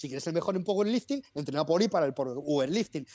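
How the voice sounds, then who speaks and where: A man talks with lively intonation at a high pitch. His tone is dark and mellow. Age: 30s. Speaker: personal trainer. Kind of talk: interview. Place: home room. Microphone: earbuds.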